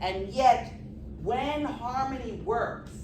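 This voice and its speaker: With audible room echo and noticeable background noise, a woman speaks in an animated tone. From New York, the Bronx. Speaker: humor and healing speaker. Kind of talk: motivational talk.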